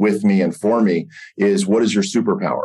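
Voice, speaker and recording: A man's normal speaking voice, with ordinary pitch variation. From US, Pittsburgh. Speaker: real estate brokerage executive and former attorney. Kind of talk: interview.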